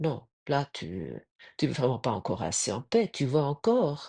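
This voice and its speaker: Very slowly, a woman talks in a very deep, low voice with vocal fry and a dark, mellow tone, recorded dry and close with no echo. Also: quiet background. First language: German (speaking French). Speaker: spiritual podcaster. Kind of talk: spiritual reflection talk. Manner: halting.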